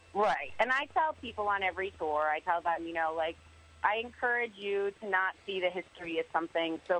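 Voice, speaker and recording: An unremarkable speaking voice with an American accent, moderate pace and ordinary pitch variation, dry and close with no echo. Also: woman. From Connecticut. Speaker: ghost tour operator. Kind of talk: casual interview.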